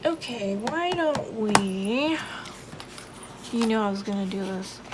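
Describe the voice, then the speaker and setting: Very slow and fairly high-pitched, a woman speaks with very wide pitch swings amid audible room echo and noticeable background noise. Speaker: crafting YouTuber. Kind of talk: casual crafting tutorial.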